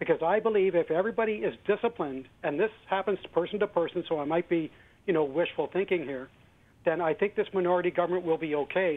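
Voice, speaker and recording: Talking at a very fast pace, a man with a Canadian accent has a high pitch and ordinary pitch variation. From Western Canada. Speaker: caller. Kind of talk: call-in comment. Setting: phone call.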